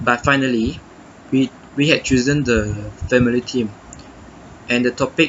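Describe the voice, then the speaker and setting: The speech moves at a moderate pace with fairly even intonation over noticeable background noise. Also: man. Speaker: university student. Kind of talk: reflection monologue. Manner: halting, many self-corrections.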